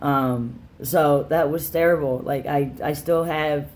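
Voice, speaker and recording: There is audible room echo as a man with a fairly high pitch talks in fairly even intonation. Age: 20s. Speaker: vlogger sharing gender transition update. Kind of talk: casual personal vlog. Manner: halting, many fillers.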